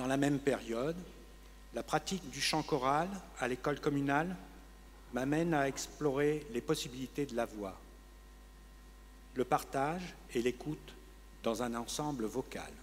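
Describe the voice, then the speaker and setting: A man at a fairly slow pace, with long, frequent pauses. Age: 60s. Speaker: retiree with multiple sclerosis giving testimony. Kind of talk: testimony.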